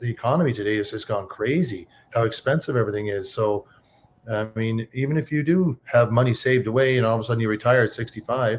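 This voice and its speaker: Very fast speech from a man at medium pitch, somewhat breathy, with ordinary pitch variation, on a very clean recording with a silent background. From Cape Breton, Nova Scotia, Canada. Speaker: online business owner, former trucker. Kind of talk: casual interview.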